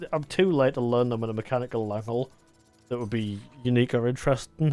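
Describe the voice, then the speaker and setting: The pace is fairly quick. Music plays in the background. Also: man. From northern England, near Newcastle. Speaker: gaming YouTuber. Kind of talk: casual chat while gaming.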